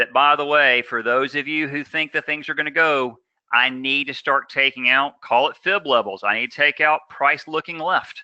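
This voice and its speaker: The recording is dry and close with no echo, carrying a man's fairly high voice in a bright, sharp tone. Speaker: day trading instructor. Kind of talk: live trading class. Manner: fast; energetic, full throttle.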